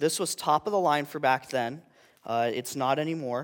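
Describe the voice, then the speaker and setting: A man with a normal speaking voice and fairly high pitch talks at a moderate pace. The sound is dry and close with no echo, on a very clean recording with a silent background. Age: 20s. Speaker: youth intern giving a sermon. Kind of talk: sermon.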